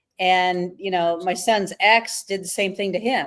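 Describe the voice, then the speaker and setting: At a fairly slow pace, a woman speaks in an unremarkable speaking voice of medium pitch with fairly even intonation. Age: 60s. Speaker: live stream host. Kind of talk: casual interview. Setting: live stream.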